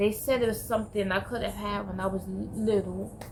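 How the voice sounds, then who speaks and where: A woman speaks at a moderate pace. Her voice carries audible room echo. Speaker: vlogger recovering from stroke. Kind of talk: personal vlog testimony. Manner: halting.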